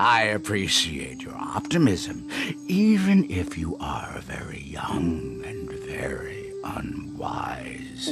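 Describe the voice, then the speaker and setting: Putting on a character voice, a man speaks very slowly at a very deep, low pitch over loud background noise. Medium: read story. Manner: calm, measured, wise.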